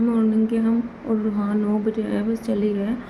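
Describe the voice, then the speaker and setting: Soft-spoken, a woman talks amid noticeable background noise and audible room echo. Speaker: vlogger. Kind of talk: casual vlog talk to camera. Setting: bedroom at night. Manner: hushed, quiet so others stay asleep.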